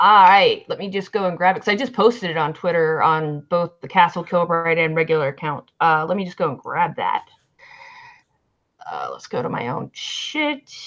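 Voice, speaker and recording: A woman speaks in an American accent at a moderate pace. Her intonation is lively, and her loudness swings widely. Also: fairly low pitch for a woman. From US South, Alabama. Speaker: podcast host, band manager. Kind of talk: casual chat.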